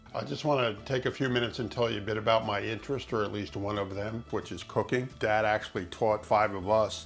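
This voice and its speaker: A man talks fairly quickly in a fairly low pitch, his pitch varying in an ordinary way as music plays in the background. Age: 60s. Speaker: dating profile video subject, ham radio hobbyist. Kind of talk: personal dating video monologue. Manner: hesitant, frequent fillers.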